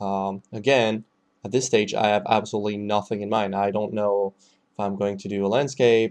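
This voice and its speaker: A man speaks in a French accent at a fairly low pitch. His pace is moderate, and the background is quiet. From France. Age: 20s. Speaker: concept artist. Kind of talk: tutorial. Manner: halting, many fillers.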